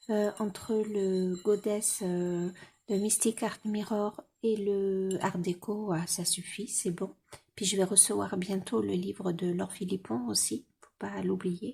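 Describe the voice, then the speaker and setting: A woman speaks at a very slow pace in a medium-pitched, somewhat breathy voice with a dark, mellow tone. Her intonation is fairly even, but her loudness swings widely. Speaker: vlogger. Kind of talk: casual vlog chat. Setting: at home. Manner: hesitant, many fillers; soft-spoken.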